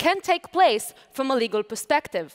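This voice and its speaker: A woman with an Israeli accent speaks at a moderate pace, her pitch swinging very widely against a quiet background. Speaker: lawyer and lecturer. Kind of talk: conference talk. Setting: stage with audience. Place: stage. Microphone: headset.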